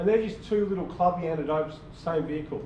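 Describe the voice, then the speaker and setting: Audible room echo surrounds a man with an Australian accent who talks at a fairly quick pace and a fairly high pitch. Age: 60s. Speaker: small business owner presenting to a club. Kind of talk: club presentation. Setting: club meeting with audience. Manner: casual, repetitive with false starts.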